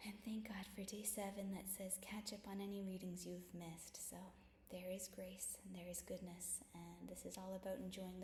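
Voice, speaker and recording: Soft-spoken and monotone, a woman with a medium pitch and flat intonation speaks at a moderate pace amid audible room echo and noticeable background noise. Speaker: bible study vlogger. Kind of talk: casual chat; reading aloud. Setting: at home.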